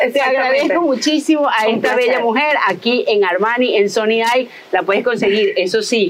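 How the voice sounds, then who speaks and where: With very even loudness and lively intonation, a woman speaks at a fairly high pitch over noticeable background noise. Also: moderate pace. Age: 50s. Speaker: podcast host. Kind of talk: casual interview. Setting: outdoors in a botanical garden. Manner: animated.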